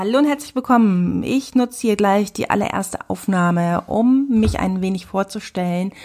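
A woman's somewhat breathy, medium-pitched voice at a moderate pace, with ordinary pitch variation and hardly any pauses. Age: 30s. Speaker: podcast host and photographer. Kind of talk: podcast monologue.

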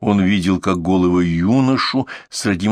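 Text is read out plainly. The reading is unadorned.

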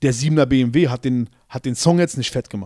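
The man speaks at a moderate pace and medium pitch with a dark, mellow tone, in a dry, close sound with no echo on a very clean recording against a silent background. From Berlin, Schöneberg. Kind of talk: interview.

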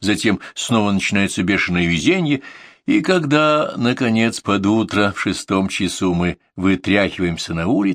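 Someone reads text aloud plainly. Their intonation rises and falls in a lively way.

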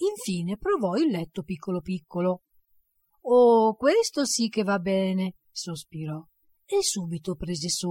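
The background is quiet as someone does plain reading aloud, the intonation lively.

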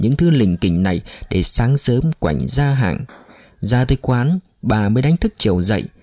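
A natural reading voice carries lively intonation.

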